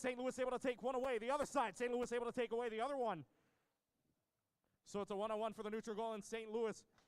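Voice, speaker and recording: At a very fast pace, a man talks at an extremely high pitch. His intonation stays fairly even. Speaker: robotics competition emcee. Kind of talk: live commentary. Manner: loud.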